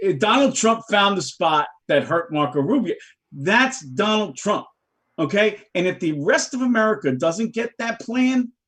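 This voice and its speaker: With a New York accent, a man speaks at a moderate pace in a high, animated voice full of very wide pitch swings. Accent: New York (Bronx). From New York City, the Bronx. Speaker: political talk show guest. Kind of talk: casual political discussion. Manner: animated, emphatic.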